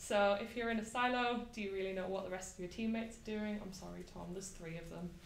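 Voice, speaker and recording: Audible room echo surrounds this woman's voice. Her pitch is medium, with ordinary variation. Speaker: software tester giving a meetup talk. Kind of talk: conference talk. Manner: fast.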